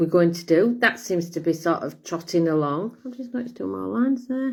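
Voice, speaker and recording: Against a silent background on a very clean recording, a woman speaks at a moderate pace with very wide pitch swings. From Serbia. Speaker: vlogger. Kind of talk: casual monologue to camera. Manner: rambling, conversational.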